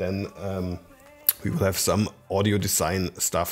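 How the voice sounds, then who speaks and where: A man's plain, everyday voice, fairly low in pitch, at a fairly slow pace. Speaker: tech reviewer. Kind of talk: casual vlog chat. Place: home room. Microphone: studio mic.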